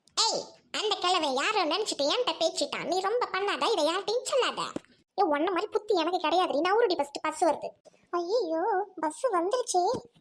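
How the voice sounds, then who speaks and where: This cartoonish character voice has lively intonation at a moderate pace. Its loudness stays very even. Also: woman, extremely high pitch for a woman. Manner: brash, rude.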